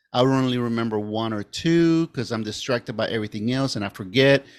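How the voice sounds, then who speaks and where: At a fairly quick pace, a man with an ordinary speaking voice talks at medium pitch on a very clean recording with a silent background. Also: dry, close sound with no echo. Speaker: podcast host. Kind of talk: casual interview.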